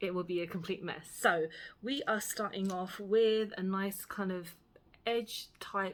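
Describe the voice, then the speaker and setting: In a Cockney accent, a woman speaks at a fairly slow pace with fairly even intonation. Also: medium pitch for a woman. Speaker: beauty vlogger. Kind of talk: makeup tutorial and review chat. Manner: casual, filler-heavy.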